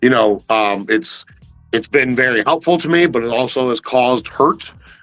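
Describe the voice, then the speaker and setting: Music plays in the background. A man of medium pitch speaks at a moderate pace with ordinary pitch variation. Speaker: hip-hop artist and guest. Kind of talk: casual interview chat. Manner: purposeful, hustling delivery; animated.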